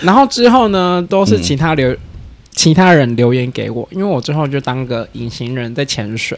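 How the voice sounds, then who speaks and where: Noticeable background noise behind a moderate pace and very wide pitch swings. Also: man, fairly high pitch for a man. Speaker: podcast guest. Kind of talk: casual chat.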